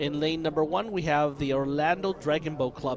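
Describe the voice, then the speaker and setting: Over noticeable background noise, a man speaks loudly at a fairly quick pace. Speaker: race announcer. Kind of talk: live sports commentary.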